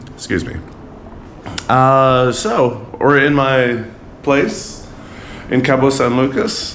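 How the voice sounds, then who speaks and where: Over noticeable background noise and audible room echo, the speaker goes at a very slow pace with ordinary pitch variation and long, frequent pauses. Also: man, medium pitch for a man. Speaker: motorcycle travel vlogger. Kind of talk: casual vlog talk. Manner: halting, many fillers.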